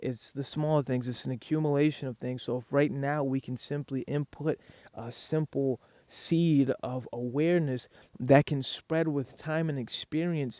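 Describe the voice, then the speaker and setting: A man with a fairly high pitch and a dark, mellow tone speaks at a moderate pace with fairly even intonation, recorded dry and close with no echo against a quiet background. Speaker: podcast host. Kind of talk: casual monologue. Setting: outdoors. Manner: halting.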